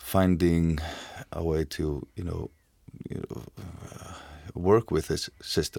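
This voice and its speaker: A man with an Icelandic accent speaks at a very deep, low pitch with a dark, mellow tone and fairly even intonation. The pace is very slow, and the recording is very clean with a silent background. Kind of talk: casual discussion. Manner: halting.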